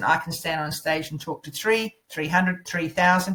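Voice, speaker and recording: A woman's fairly low voice with ordinary pitch variation at a moderate pace. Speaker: public speaking coach. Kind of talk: online course lecture. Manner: loud.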